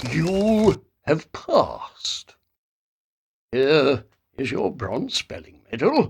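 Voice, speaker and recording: In a put-on character voice at a middle pitch, the speaker goes very slowly, with long, frequent pauses. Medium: read story. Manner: stern, commanding.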